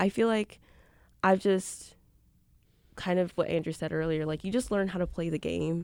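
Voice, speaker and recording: A woman with an American accent speaks at a medium pitch and moderate pace, with ordinary pitch variation. The recording is very clean, with a silent background. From Milwaukee, Wisconsin (Northwest side). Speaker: college student. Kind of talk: casual chat.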